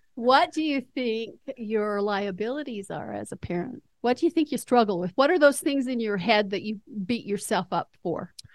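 An unremarkable speaking voice from a woman, fairly high in pitch, with lively intonation, a moderate pace, hardly any pauses and a dry, close sound with no echo. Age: 60s. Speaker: retired school counselor. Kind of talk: casual interview conversation.

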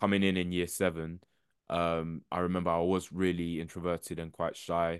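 Over a quiet background, a man with a very deep, low pitch speaks at a moderate pace in a monotone, flat intonation. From England (London and Essex), Ghanaian family. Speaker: animator and creative entrepreneur. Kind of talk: interview conversation.

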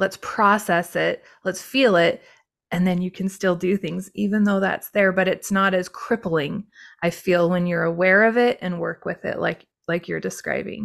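A woman with an ordinary speaking voice, medium pitch and fairly even intonation, at a moderate pace, in a very clean recording with a silent background. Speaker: podcast host and life coach. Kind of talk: interview intro and chat.

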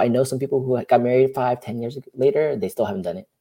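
Speaking very fast, a man keeps his voice at a medium pitch. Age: 40s. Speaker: podcast host. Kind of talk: casual interview.

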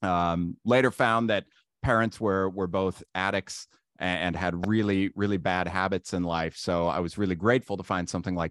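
A man with a Midwestern American accent, dry, close sound with no echo, and a quiet background. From Ohio, US. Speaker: marketing consultant. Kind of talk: casual interview.

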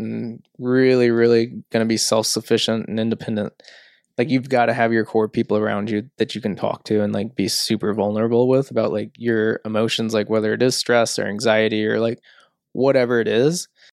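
An unremarkable speaking voice talks at a moderate pace. The recording is very clean and dry, close with no echo, against a silent background. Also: man. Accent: American. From St. Louis area, US Midwest. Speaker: entrepreneur, media studio co-founder. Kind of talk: casual interview chat.

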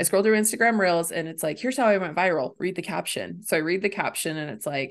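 A woman talks at a fairly quick pace with a medium pitch and lively intonation. The background is quiet. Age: 30s. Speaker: social media manager. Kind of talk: casual chat. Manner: laughs often.

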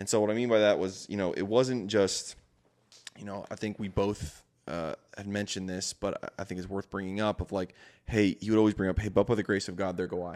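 On a very clean recording with a silent background, a man with an unremarkable speaking voice talks at a fairly quick pace, fairly low in pitch, with fairly even intonation. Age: 20s. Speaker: entrepreneur and father. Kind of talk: casual chat. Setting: studio.

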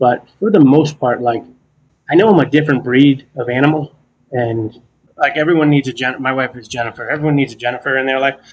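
This man has a plain, everyday voice at a fairly high pitch. He talks at a fairly quick pace. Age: 40s. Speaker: ADHD coach, former construction manager. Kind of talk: casual interview chat.

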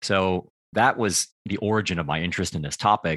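A man with an American accent speaks at a fairly quick pace, his tone bright and sharp and his intonation fairly even. The sound is dry and close with no echo, over a quiet background. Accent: American, general. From United States. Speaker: public speaker and career consultant. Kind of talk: casual interview.

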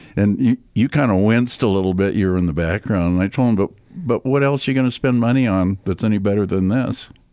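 Over a quiet background, a man with a fairly low pitch and a dark, mellow tone talks at a very fast pace, with ordinary pitch variation and very even loudness. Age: 80s. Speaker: retired casino executive, guest. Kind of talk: casual interview.

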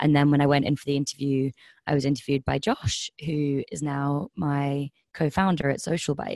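In a slight southern English accent, a woman speaks at a very deep, low pitch with fairly even intonation, the sound dry and close with no echo. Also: moderate pace. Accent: slightly southern English, like Kent. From Highlands of Scotland, moved there aged seven. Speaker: social enterprise co-founder. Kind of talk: interview.

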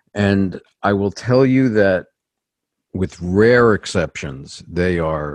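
Against a quiet background, a man with a very deep, low voice speaks in a New York accent. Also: dry, close sound with no echo. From New York City. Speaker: executive coach. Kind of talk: interview.

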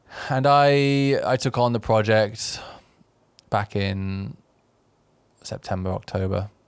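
A man with an English accent and a fairly low pitch, very slow pace, long and frequent pauses, on a very clean recording with a silent background. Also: ordinary pitch variation. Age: 30s. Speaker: YouTuber. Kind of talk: casual chat. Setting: studio.

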